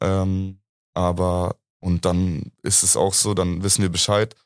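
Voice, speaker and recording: The recording is very clean with a silent background and a dry, close sound without echo. A man speaks in a fairly low pitch. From Munich, Bavaria. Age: 20s. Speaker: university student. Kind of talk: casual chat.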